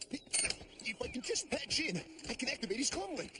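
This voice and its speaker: This cartoonish character voice sits at a high pitch and swings very widely in pitch, with clear background noise behind it. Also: moderate pace. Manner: wisecracking, fast.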